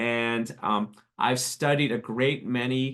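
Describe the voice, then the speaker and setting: Against a quiet background, a man has a plain, everyday voice at medium pitch with ordinary pitch variation. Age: 60s. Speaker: tennis writer. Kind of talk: webinar interview.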